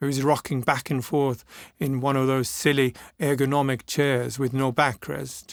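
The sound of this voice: An unforced reading voice carries the whole clip.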